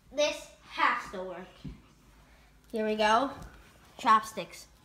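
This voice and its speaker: Very slowly, a female-sounding cartoonish character voice speaks at a fairly high pitch for a woman. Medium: puppet.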